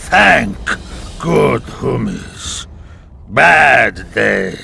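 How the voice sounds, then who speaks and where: A man puts on a character voice. It is raspy and very deep, low in pitch. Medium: video game. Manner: broken grammar, simple words.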